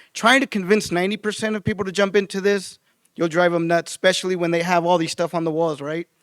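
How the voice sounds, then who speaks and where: A loud man with a high pitch and fairly even intonation talks at a very fast pace. The recording is very clean and silent behind him, with a dry, close sound and no echo. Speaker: utility design trainer. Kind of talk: conference presentation.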